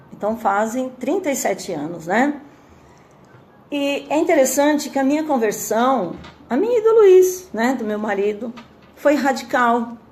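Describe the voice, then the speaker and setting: A woman at a high pitch with very wide swings, a fairly slow pace, long, frequent pauses and noticeable background noise. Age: 60s. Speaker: churchgoing mother giving testimony. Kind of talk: testimony. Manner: halting, many fillers.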